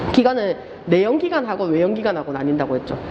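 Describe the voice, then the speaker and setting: A woman with an animated tone. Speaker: lecturer. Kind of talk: lecture. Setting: classroom with live students. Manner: fast. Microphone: muffled by face mask.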